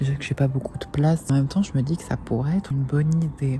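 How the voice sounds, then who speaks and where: This woman has a very deep, low voice. Noticeable background noise runs through the clip. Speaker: vlogger. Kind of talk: casual vlog talk to camera. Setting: outdoors at night, dark alley; in a store. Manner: whispering.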